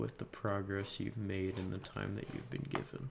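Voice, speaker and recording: A soft-spoken man talks with fairly low pitch. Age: 20s. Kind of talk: casual talk to camera.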